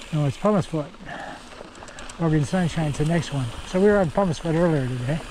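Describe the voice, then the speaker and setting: Noticeable background noise sits behind a man with a fairly high pitch and ordinary pitch variation. He talks at a very fast pace but with long, frequent pauses. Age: 80s+. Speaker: mountain biking vlogger. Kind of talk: solo ride commentary. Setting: outdoors on a mountain bike trail. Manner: casual, intermittent.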